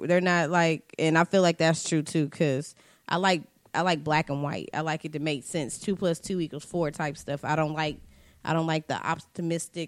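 In a very clean recording with a silent background, a woman uses an ordinary speaking voice, fairly low in pitch, with fairly even intonation at a moderate pace. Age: 20s. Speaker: podcast co-host. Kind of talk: casual chat.

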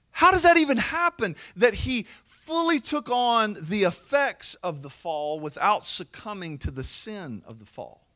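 Raised and projected with a bright, sharp tone, the voice moves at a fairly slow pace with hardly any pauses, very wide pitch swings and big swings in loudness, in a very clean recording with a silent background. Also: man, high pitch for a man. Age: 40s. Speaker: pastor. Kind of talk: sermon.

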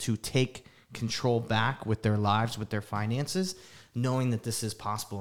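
In a very clean recording with a silent background, a man with an American accent speaks at a fairly quick pace, medium in pitch and with ordinary pitch variation. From New Jersey, Livingston. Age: 30s. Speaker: podcast co-host, real estate professional. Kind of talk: casual chat.

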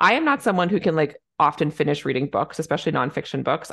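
A woman with a Canadian accent and a very deep, low pitch at a very fast pace over a quiet background. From Canada. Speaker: podcast host, family physician. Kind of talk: casual interview conversation.

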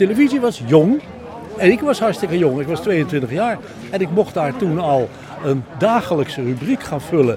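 A man's high pitch with very wide swings at a fairly slow pace, crowd noise in the background. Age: 80s+. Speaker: retired journalist. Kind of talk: interview reminiscence.

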